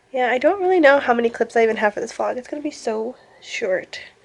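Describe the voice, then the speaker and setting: The speech is mumbled at a fairly quick pace. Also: woman. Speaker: booktuber vlogger. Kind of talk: casual vlog monologue. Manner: mumbling.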